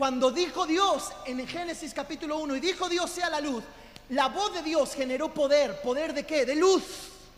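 A man at an extremely high pitch, with ordinary pitch variation and a fairly slow pace. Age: 40s. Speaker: pastor. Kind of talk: sermon. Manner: animated; loud.

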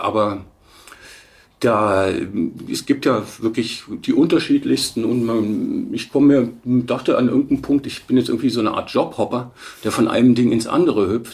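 With an ordinary speaking voice, a man talks at a moderate pace and medium pitch with ordinary pitch variation. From Bavaria, Munich. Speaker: stock photo agency manager. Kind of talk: interview.

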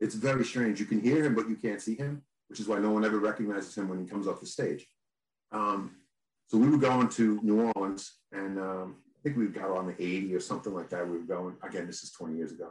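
In a plain, everyday voice, a man with an American accent talks at a fairly quick pace, his fairly low pitch showing ordinary variation. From New York. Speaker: band guitarist. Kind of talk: casual chat.

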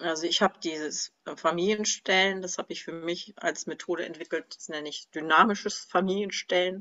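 A woman's ordinary speaking voice, fairly low in pitch, at a fairly quick pace, with fairly even intonation and big swings in loudness. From northern Germany, Kiel. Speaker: former music teacher. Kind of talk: interview about personal grief.

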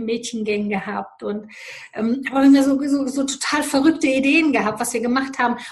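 A woman with fairly even intonation. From Romania. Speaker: life coach. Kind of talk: interview.

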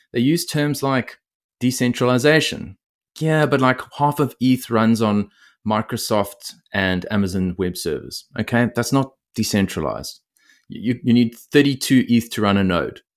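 In a very clean recording with a silent background, a man with an Australian accent speaks at a medium pitch and moderate pace with ordinary pitch variation. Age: 30s. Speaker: bitcoin podcaster, former lawyer. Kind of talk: casual interview conversation.

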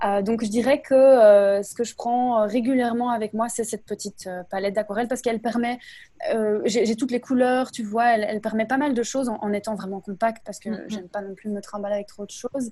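A woman speaks at a fairly quick pace with fairly even intonation. Her voice is somewhat breathy, with a dark, mellow tone. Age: 30s. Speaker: instagram creator sharing creative explorations. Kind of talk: casual interview.

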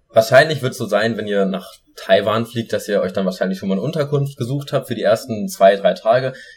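Very fast, somewhat breathy delivery with lively intonation. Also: man, medium pitch for a man. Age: 20s. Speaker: podcast co-host. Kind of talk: casual chat.

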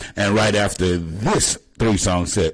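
A man speaks at a fairly slow pace in a very deep, low pitch with vocal fry. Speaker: radio host. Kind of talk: radio DJ patter. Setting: live internet radio stream. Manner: upbeat, chatty.

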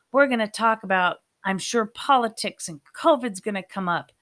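The woman's tone is bright and sharp. She speaks at a moderate pace. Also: very clean recording, silent background. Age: 50s. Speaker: podcast host. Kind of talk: solo monologue podcast intro.

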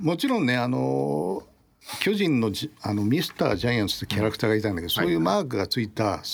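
A man talking at a very fast pace, fairly low in pitch with very wide pitch swings, over noticeable background noise. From Tokyo. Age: 60s. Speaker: baseball design researcher. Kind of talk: casual chat.

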